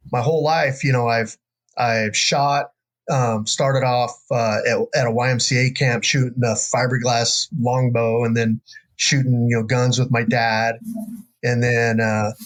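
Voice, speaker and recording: A man speaks in a rural American accent at a fairly slow pace. His intonation is monotone and flat, his loudness very even. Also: medium pitch for a man. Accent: rural American, redneck-sounding. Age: 50s. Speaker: bowhunter and jiu-jitsu instructor. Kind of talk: casual interview chat. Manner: casual, many fillers.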